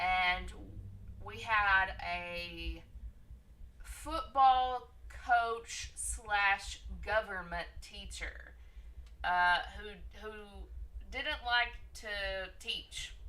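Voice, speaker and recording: With audible room echo and noticeable background noise, a woman speaks at a very slow pace, leaving long, frequent pauses, her loudness swinging widely. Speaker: friend joining the stream. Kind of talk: casual storytelling.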